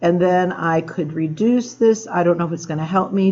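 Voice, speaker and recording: A woman speaks with a plain, everyday voice. Her pitch is fairly low, with ordinary pitch variation. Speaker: math teacher. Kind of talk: tutorial. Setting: classroom after school.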